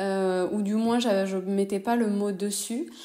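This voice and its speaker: With a slight southern French accent, a woman talks at a fairly slow pace and medium pitch, her intonation fairly even and her tone dark and mellow. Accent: slight singing southern French. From southwest France, Toulouse. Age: 30s. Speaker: entrepreneur. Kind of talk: interview. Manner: hesitant, many fillers.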